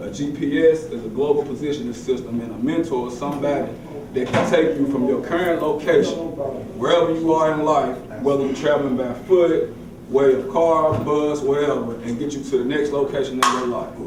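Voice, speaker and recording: There is noticeable background noise and audible room echo. A man talks fairly quickly with a fairly high pitch and fairly even intonation. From Tennessee. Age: 30s. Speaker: motivational speaker. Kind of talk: motivational talk.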